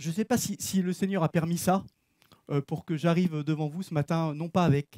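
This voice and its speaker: Loud and at a high pitch, a man speaks at a moderate pace in a dark, mellow tone, with a dry, close sound and no echo. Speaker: preacher. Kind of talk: sermon. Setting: church. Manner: casual.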